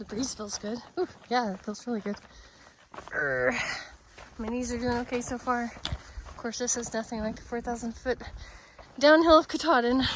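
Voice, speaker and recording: A woman's high-pitched voice with long, frequent pauses over noticeable background noise. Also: ordinary pitch variation, moderate pace. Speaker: hiking vlogger. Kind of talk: outdoor vlog narration. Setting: outdoors on a hiking trail. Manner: breathy, winded from climbing.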